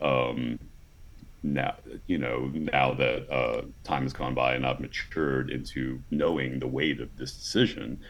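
With an American accent, a man speaks at a very deep, low pitch and fairly even intonation. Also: fairly slow pace. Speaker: former sperm donor. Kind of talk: interview.

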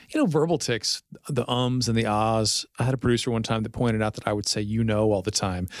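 A man at a medium pitch with an American accent, very fast pace and ordinary pitch variation. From Fort Worth, Texas. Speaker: TV news anchor. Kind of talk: casual chat. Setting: studio.

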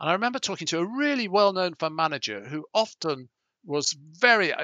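A man speaks in a British accent at a fairly quick pace. His pitch swings very widely. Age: 60s. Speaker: business founder and executive chairman. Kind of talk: interview.

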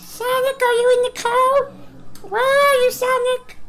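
Over light background noise, a put-on character voice sounds at an extremely high pitch. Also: fairly slow pace. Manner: playful.

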